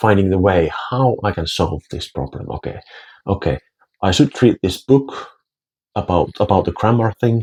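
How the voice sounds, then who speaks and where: A man with a Finnish accent speaks fairly slowly in a somewhat breathy, dark, mellow voice with ordinary pitch variation and a dry, close sound with no echo. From Finland. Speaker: language teacher and vlogger. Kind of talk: casual talk to camera. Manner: halting, many repetitions.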